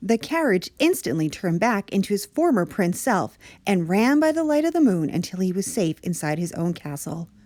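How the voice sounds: It is a natural reading voice. The reading goes on that way throughout.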